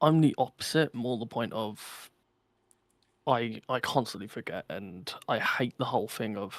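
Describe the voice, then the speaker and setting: A man talks very slowly at a medium pitch. The recording is very clean and dry, close with no echo and a silent background. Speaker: podcast co-host and streamer. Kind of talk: casual chat. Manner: loud.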